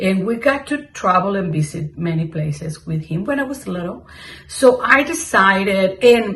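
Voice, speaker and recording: Speaking at a moderate pace with a Mexican accent, a woman makes very wide pitch swings over noticeable background noise. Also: medium pitch for a woman. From Mexico. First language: Spanish. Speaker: cross-stitch vlogger. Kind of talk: casual chat. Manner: halting.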